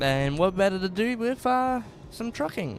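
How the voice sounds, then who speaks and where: Speaking with an Australian accent, a man's voice makes very wide pitch swings. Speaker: gaming streamer. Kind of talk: casual live-stream chat. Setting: live stream.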